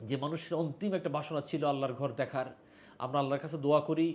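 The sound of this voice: Fast-paced speech from a man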